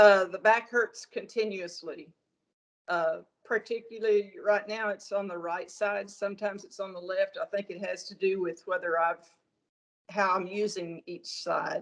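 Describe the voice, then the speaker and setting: The speaker talks at a fairly slow pace, with big swings in loudness. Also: woman. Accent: Southern US. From US South, northern Arkansas. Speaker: patient. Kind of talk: medical consultation. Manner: halting.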